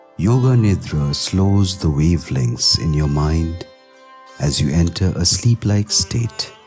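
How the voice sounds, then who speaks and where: Music plays behind a man with a very deep, low pitch and a calm, soothing tone. He speaks at a very slow pace with lively intonation and very even loudness. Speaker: guided meditation narrator. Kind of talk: yoga nidra guided meditation. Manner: slow, calm, soothing.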